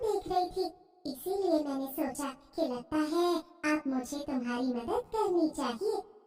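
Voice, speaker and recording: A woman talks in a cartoonish character voice at a fairly slow pace, with a slight echo. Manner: gentle, benevolent.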